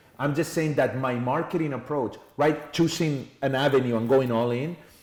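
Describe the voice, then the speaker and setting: Moderately paced speech in a Spanish accent, fairly even in intonation, with audible room echo. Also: man, fairly high pitch for a man. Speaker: entrepreneur and sales trainer. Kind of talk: podcast interview.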